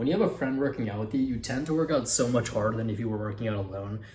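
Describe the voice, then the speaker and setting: Very fast and somewhat breathy, a man speaks in a dark, mellow tone at a medium pitch, with audible room echo. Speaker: fitness vlogger. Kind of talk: casual vlog. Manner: casual, filler-heavy.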